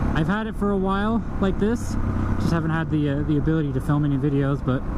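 A woman talks at a fairly quick pace. The sound is dry with no echo, but loud background noise is present. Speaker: motovlogger. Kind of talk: casual vlog chat. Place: motorbike. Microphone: helmet.

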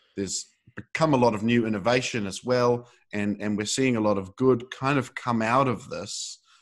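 The man talks at a moderate pace with ordinary pitch variation. The background is quiet. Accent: New Zealand. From New Zealand. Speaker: podcast host. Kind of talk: interview. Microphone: video call.

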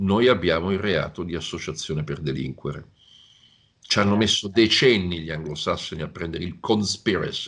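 Against a quiet background, a man with a very deep, low pitch talks at a moderate pace. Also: ordinary pitch variation. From Italy. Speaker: security analyst, professor. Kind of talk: interview answers. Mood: relaxed, analytical. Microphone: video call.

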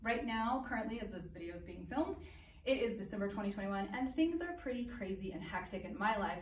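Lively in intonation and fairly quick, a woman speaks with light background noise and audible room echo. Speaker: dance teacher. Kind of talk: casual class introduction. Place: hall. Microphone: camera far.

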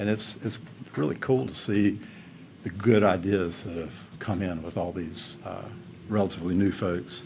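With a Southern US accent and a very deep, low pitch, a man talks at a moderate pace with ordinary pitch variation and long, frequent pauses, his voice carrying audible room echo. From Upstate South Carolina, Greenville. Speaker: architect. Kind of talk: public testimony. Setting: county council meeting. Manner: halting.

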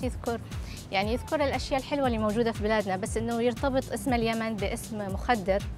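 A woman speaks at a fairly quick pace with fairly even intonation. The sound is dry with no echo, and clear music plays in the background. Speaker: journalist. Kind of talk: interview answer. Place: cafe. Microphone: lapel.

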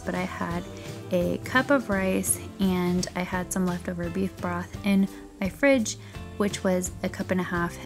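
Clear music plays behind the speaker. The voice is a woman's. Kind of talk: casual cooking tutorial chat. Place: kitchen. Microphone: camera far.

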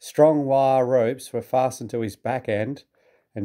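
This is plain reading aloud with fairly even intonation. The background is quiet.

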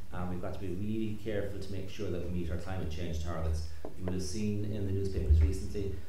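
Very fast male speech with strong room echo and noticeable background noise. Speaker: event host. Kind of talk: panel introduction. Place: hall.

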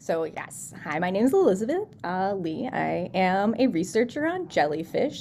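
A woman with an American accent at a moderate pace, light background noise behind her. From US Midwest, Chicago suburbs; Illinois. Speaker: scientist, postdoc researcher. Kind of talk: science talk for students. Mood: friendly, upbeat. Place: home room. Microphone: video call.

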